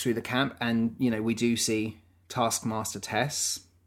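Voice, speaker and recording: A man is talking here. His delivery comes at a fairly slow pace. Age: 30s. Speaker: podcast co-host. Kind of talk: casual chat.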